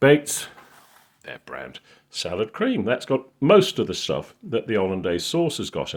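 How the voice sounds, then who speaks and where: At a moderate pace, a man speaks with a Yorkshire accent. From Yorkshire, northern England. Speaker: cooking video maker. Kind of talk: casual tutorial. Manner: casual, hesitant with fillers.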